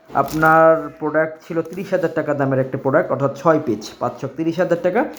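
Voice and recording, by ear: Room echo is audible as a man speaks at a fast pace. His pitch is fairly high and his intonation fairly even.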